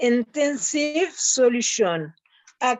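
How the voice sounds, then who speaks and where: A woman in a French accent speaks very slowly with a fairly high pitch and lively intonation. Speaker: participant asking a question. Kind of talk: question on video call. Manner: halting, stuttering for words.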